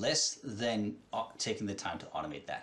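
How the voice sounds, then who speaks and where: A man talks at a moderate pace with vocal fry. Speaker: presenter. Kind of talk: tutorial. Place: home room. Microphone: headset.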